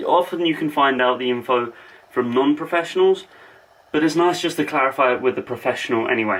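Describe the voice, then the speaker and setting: At a fairly quick pace, a man with an English accent speaks at a medium pitch with ordinary pitch variation. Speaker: fitness vlogger. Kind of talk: casual vlog. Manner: fast.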